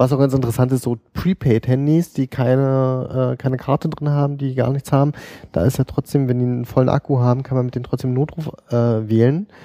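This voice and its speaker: On a dry, close sound with no echo, a man with a medium pitch talks at a fairly quick pace with fairly even intonation. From eastern Germany. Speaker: paramedic. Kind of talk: casual interview. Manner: hesitant, many filler sounds.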